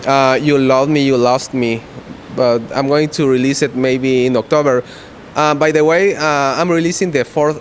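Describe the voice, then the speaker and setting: With fairly even intonation and a medium pitch, a man is heard against noticeable background noise. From Guatemala. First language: Spanish. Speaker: rock musician. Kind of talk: interview. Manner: halting.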